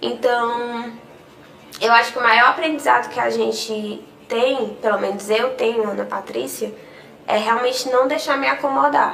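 A woman talks at a fairly slow pace, with audible room echo and noticeable background noise in the clip. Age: 20s. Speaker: e-commerce business owner. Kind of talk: podcast interview.

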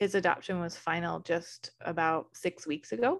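A woman with an American accent speaks in an ordinary speaking voice, fairly low in pitch and fairly even in intonation, at a moderate pace. The recording is very clean, with a silent background. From Arizona. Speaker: podcast host and planner business owner. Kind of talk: interview.

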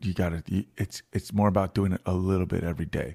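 An American accent at a moderate pace with fairly even intonation, dry and close with no echo, on a very clean recording with a silent background. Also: man. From Virginia, US. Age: 30s. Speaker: musician. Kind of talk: casual chat.

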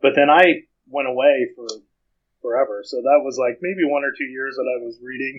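A man with a fairly high pitch talks at a moderate pace with fairly even intonation, big swings in loudness and long, frequent pauses. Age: 40s. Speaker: fan fiction author. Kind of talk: casual chat.

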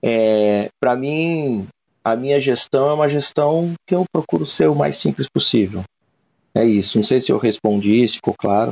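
With a medium-pitched voice, a man speaks fairly slowly and at very even loudness, his intonation lively and the sound dry and close with no echo. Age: 40s. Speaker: national sales manager. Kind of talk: interview. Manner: halting.

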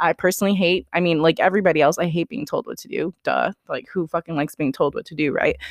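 A woman talks at a very fast pace with hardly any pauses. The sound is dry and close, with no echo. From US West Coast (Sacramento area, California). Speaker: podcast host. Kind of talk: casual solo monologue.

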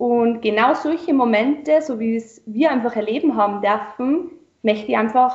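A woman speaks in an ordinary speaking voice at a fairly slow pace, her pitch fairly high with ordinary pitch variation. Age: 20s. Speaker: wedding celebrant. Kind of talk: interview.

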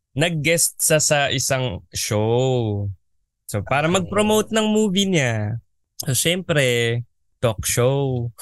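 Against a quiet background, a man with a medium pitch talks very slowly, his loudness very even while his pitch swings very widely. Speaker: podcast co-host, TV writer. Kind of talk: casual chat.

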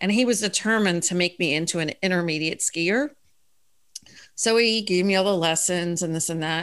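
Fairly quick delivery with ordinary pitch variation, in an American accent. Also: woman. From US, Philadelphia. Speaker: improv and travel guest. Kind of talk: casual chat. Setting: remote call.

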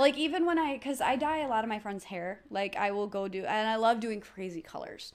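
A woman with a plain, everyday voice talks at a fairly quick pace and fairly high pitch, with lively intonation and hardly any pauses. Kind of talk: casual comedic chat.

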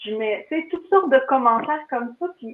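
A woman with a Quebec accent speaks with lively intonation. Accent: Québécois French. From Quebec, Laurentides (Mont-Laurier area). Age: 40s. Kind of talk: casual interview chat.

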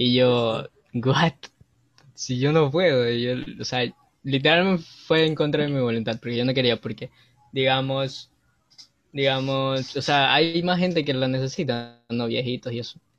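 This man talks at a fairly slow pace with long, frequent pauses. His pitch is medium and varies in an ordinary way. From Ecuador. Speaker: university student. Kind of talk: casual chat.

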